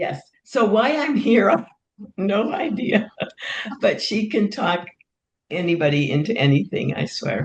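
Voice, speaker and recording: Speaking at a fairly slow pace, a woman leaves long, frequent pauses and shows vocal fry. Her pitch is medium, yet it swings very widely. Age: 80s+. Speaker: retired office worker. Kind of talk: casual chat.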